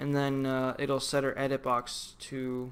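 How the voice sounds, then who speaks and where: A man speaks at medium pitch. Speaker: game development tutorial maker. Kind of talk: screen-recorded tutorial. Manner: halting, many fillers; casual.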